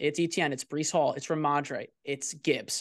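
A man speaks with an American accent against a quiet background. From New Jersey. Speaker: fantasy football content creator. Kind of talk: casual chat. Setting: video call.

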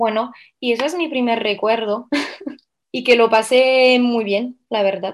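With a normal speaking voice and a fairly high pitch, a woman talks at a fairly slow pace and with fairly even intonation in a very clean recording with a silent background. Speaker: belly dancer and dance teacher. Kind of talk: interview.

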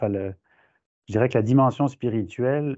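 A man talks with ordinary pitch variation. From France. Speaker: professor. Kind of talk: interview.

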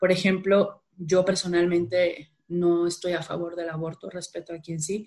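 A woman's fairly low voice, monotone and flat, at a fairly slow pace with hardly any pauses and big swings in loudness. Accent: Sinaloan. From Mexico, Culiacán, Sinaloa. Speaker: behavioral economics strategist and workshop trainer. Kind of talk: casual interview conversation.

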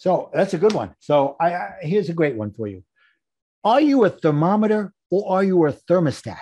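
A man with a high pitch, big pitch swings and a dark, mellow tone. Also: moderate pace.

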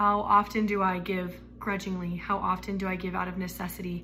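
In a room with audible echo, a woman talks with an American accent and fairly even intonation. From Arizona. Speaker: student. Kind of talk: testimony. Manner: halting.

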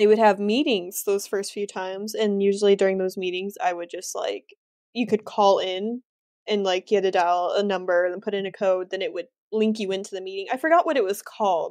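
Against a quiet background, a woman with a plain, everyday voice talks fairly quickly at a medium pitch with ordinary pitch variation. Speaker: reselling podcast co-host. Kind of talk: casual chat.

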